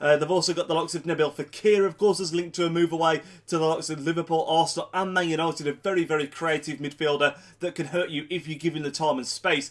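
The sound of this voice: A man talks at a fast pace with few pauses, his voice nasal. His pitch sits fairly high and his intonation stays fairly even.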